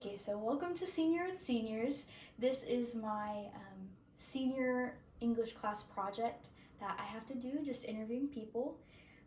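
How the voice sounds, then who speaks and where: A woman has an unremarkable speaking voice at a fairly high pitch. Her pace is moderate. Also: ordinary pitch variation. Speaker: college student interviewer. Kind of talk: interview questions.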